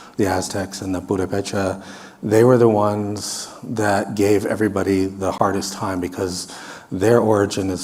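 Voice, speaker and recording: Over noticeable background noise and audible room echo, a man speaks at a moderate pace with a fairly low pitch. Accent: American. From US Midwest. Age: 60s. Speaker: researcher. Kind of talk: lecture.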